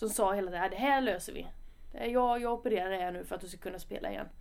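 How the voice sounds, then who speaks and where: A woman of medium pitch talks at a very fast pace, with audible room echo. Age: 20s. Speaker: footballer. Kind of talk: podcast interview. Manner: casual.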